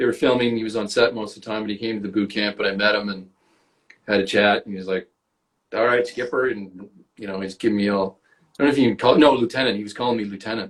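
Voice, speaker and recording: A man speaks at a very fast pace with a fairly low pitch. His loudness swings widely. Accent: American. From Canada. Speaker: actor. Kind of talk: casual chat. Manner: animated.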